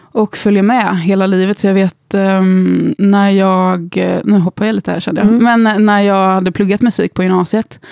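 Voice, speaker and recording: A woman at medium pitch, fairly slow pace and fairly even intonation, in a dry, close sound with no echo. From Gothenburg, Sweden. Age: 30s. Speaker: instagram creator and musician. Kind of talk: casual interview.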